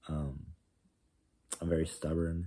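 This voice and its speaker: Here a man talks in a monotone with flat intonation. His pitch is very deep and low, and his pace is moderate. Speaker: vlogger. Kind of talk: casual video diary monologue. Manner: halting, many fillers and restarts; loud.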